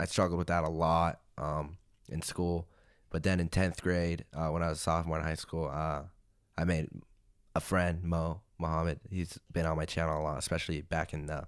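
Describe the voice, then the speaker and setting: The recording is very clean, with a silent background. A man speaks at a moderate pace in a very deep, low pitch, his intonation monotone and flat. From Arizona, US. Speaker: gaming YouTuber. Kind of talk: podcast interview. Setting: studio. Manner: casual, many fillers.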